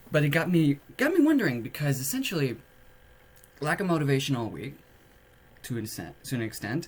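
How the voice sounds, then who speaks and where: Somewhat breathy, the speaker moves at a fairly quick pace with ordinary pitch variation and long, frequent pauses. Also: man, fairly high pitch for a man. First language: French. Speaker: podcaster. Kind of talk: casual monologue. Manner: hesitant, many filler words.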